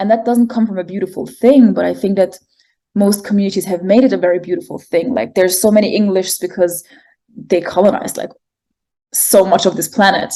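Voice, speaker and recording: With a German accent, a woman talks at a fairly quick pace in a dark, mellow tone. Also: medium pitch for a woman, ordinary pitch variation. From Germany, Egyptian family. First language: German and Arabic. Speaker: poet and artist. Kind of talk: interview conversation. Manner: hesitant, many fillers.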